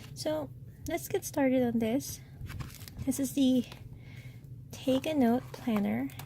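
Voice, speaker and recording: A woman speaks at a very slow pace with long, frequent pauses. Noticeable background noise can be heard. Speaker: stationery reviewer. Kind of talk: product unboxing review. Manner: soft-spoken.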